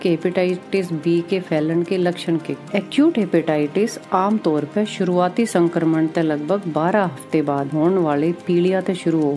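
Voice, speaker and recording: Music plays behind a woman whose fairly low voice shows ordinary pitch variation. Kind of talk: health awareness podcast.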